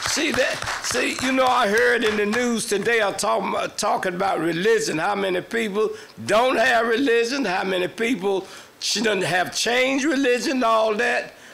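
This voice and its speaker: Moderate-paced speech with ordinary pitch variation, amid audible room echo and noticeable background noise. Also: man, high pitch for a man. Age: 80s+. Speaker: longtime resident speaking at council meeting. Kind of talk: public comment speech.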